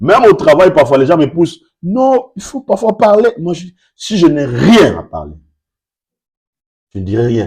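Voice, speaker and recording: A man with vocal fry speaks at a fairly high pitch, his voice making very wide pitch swings. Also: very clean recording, silent background. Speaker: pastor. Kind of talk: sermon. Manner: deliberately slow.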